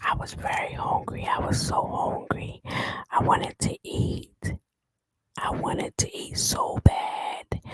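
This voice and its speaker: Whispering at a very slow pace, a woman is heard in a dry, close sound with no echo. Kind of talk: ASMR whispered story time. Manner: whispered.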